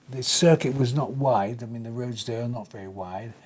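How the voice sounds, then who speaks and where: Over noticeable background noise, a man with an English accent speaks at a fairly quick pace. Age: 80s+. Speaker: retired racing driver. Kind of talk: interview answer.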